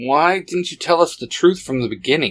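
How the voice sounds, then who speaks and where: A man's put-on character voice, fairly high, at a moderate pace with ordinary pitch variation. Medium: read story.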